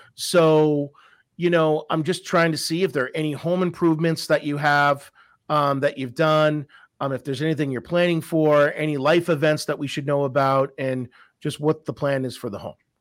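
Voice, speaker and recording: A man with a slight Massachusetts accent speaks at a moderate pace with fairly even intonation and a fairly high pitch. The recording is very clean, with a silent background. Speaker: mortgage professional and podcast host. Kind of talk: casual chat.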